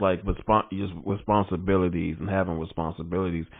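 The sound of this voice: A man's low voice with vocal fry, little pitch movement and a fairly quick pace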